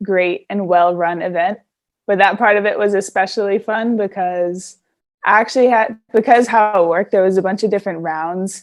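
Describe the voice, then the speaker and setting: In an ordinary speaking voice, a woman with an American accent talks at a fairly quick pace and medium pitch, with ordinary pitch variation and a quiet background. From California, US. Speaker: basketball player. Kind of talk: interview.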